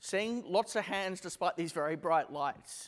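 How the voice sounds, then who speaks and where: A man talks with an Australian accent. His pace is moderate and his intonation lively. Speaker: company CEO giving a conference talk. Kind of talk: conference presentation. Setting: stage with audience. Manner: casual, with filler words.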